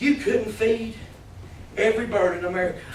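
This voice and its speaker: A man with a Southern US accent is heard amid noticeable background noise and audible room echo. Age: 30s. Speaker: preacher. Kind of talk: sermon. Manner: animated.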